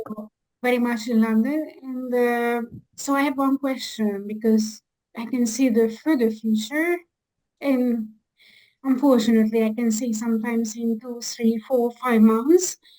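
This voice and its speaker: A woman with a Hungarian accent and a high pitch speaks at a fairly slow pace, her tone dark and mellow and her intonation fairly even. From Hungary. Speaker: audience member asking a question. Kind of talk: audience question. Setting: video call.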